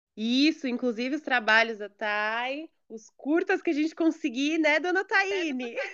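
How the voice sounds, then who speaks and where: With lively intonation and big swings in loudness, a woman talks fairly slowly at a high pitch. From São Paulo area, Brazil. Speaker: podcast host. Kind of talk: casual interview.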